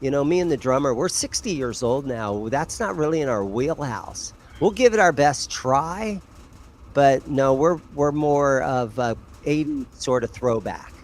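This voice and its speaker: A man with a fairly high pitch, a plain, everyday voice, lively intonation and a fairly slow pace. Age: 60s. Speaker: bass player in a rock band, guitar shop owner. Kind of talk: casual chat.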